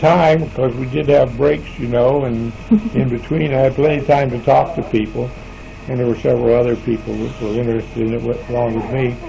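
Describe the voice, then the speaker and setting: A quiet man's voice at medium pitch and a moderate pace, with ordinary pitch variation and noticeable background noise. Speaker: retired factory worker. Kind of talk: interview answer. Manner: quiet, hesitant.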